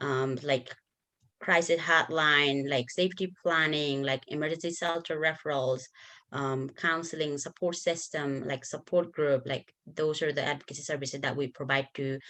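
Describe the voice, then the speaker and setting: The tone is bright and sharp, and the intonation stays fairly even. It moves at a moderate pace over a quiet background. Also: woman. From Nepal. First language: Nepali. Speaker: bilingual advocate. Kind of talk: conference workshop presentation.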